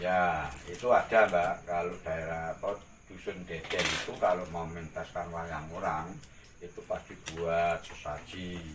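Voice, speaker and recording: Monotone, flat intonation at a fairly slow pace, over noticeable background noise. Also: man, very deep, low pitch for a man. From Gunung Kidul, Java, Indonesia. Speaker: artist and costume rental owner. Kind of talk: interview answer.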